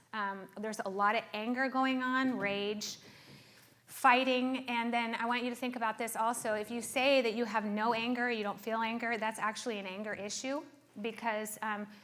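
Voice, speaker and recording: A woman's fairly high, monotone, flat voice at a moderate pace amid noticeable background noise. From South Africa. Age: 40s. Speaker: therapist. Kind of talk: talk to a live audience.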